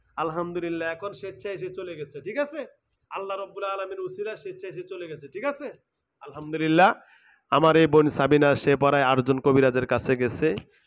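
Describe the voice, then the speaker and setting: With lively intonation and big swings in loudness, a man speaks in a high pitch. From Bangladesh. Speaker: Islamic faith healer. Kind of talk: exorcism session; address to viewers. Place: home room. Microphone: lapel.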